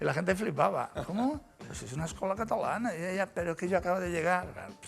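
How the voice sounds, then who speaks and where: A very fast pace with an Andalusian accent and big swings in loudness. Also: man, high pitch for a man, ordinary pitch variation. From Andalusia, Spain (Cádiz). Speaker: musician, former band drummer and music producer. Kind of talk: interview. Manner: animated.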